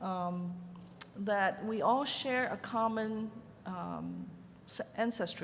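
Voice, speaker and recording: A woman's medium-pitched voice with fairly even intonation and audible room echo. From Hong Kong. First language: Chinese. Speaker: ceramic artist. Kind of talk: conference panel talk. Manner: hesitant, with many fillers.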